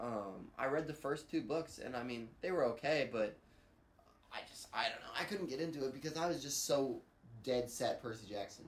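A man's ordinary speaking voice at medium pitch, with lively intonation and a moderate pace. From US Midwest, Missouri (Crystal City area). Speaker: podcast co-host. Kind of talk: casual chat.

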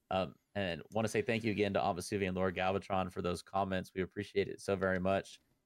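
A man talks at a very fast pace with hardly any pauses, his very deep, low pitch held to a fairly even intonation. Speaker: podcast host. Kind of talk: casual chat.

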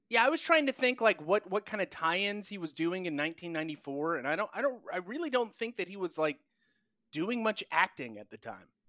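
A raised, projected voice with an American accent comes at a fairly quick pace in a bright, sharp tone. Its pitch swings very widely, and the sound is dry and close with no echo. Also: man, high pitch for a man, big swings in loudness, very clean recording, silent background. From North Carolina, US South. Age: 30s. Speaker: video producer, podcast guest. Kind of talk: casual chat.

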